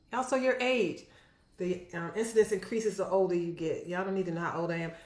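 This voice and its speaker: A woman speaks at a medium pitch with lively intonation. Audible room echo surrounds her voice. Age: 60s. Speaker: physician. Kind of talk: health education vlog. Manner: casual, conversational.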